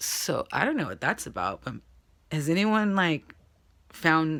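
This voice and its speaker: Recorded very cleanly against a silent background, a woman talks at a moderate pace in a very deep, low pitch with vocal fry. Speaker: vlogger. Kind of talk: casual vlog. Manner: casual, hesitant with fillers.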